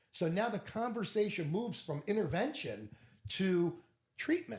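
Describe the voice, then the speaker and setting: Loud and animated, a man with a high pitch speaks at a moderate pace with lively intonation. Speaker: interventionist. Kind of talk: interview conversation.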